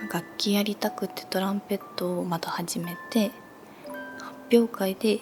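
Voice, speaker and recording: Over music in the background, a soft-spoken woman talks at a fairly slow pace. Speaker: former idol. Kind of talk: ASMR chat. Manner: natural speaking voice, soft.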